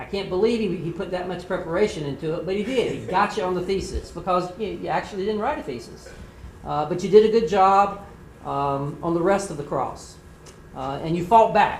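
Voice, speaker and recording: Noticeable noise sits in the background. The talking goes at a fairly quick pace. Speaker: mock trial judge giving feedback. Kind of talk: spoken feedback critique. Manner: filler-heavy, repeats words.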